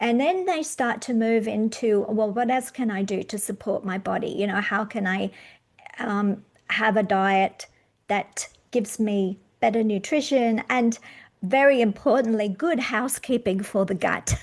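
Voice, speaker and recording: Speaking at a fairly slow pace, a woman uses a normal speaking voice, fairly high in pitch, with ordinary pitch variation. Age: 60s. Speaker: podcast host and magnesium supplier. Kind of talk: interview.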